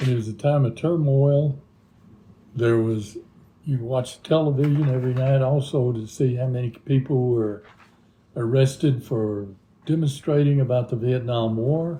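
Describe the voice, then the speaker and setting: Somewhat breathy and dark, mellow in tone, a man with a Texan accent speaks at medium pitch with fairly even intonation. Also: moderate pace. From Texas, Deep South (Harlingen). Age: 80s+. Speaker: retired teacher, interviewee. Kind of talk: interview.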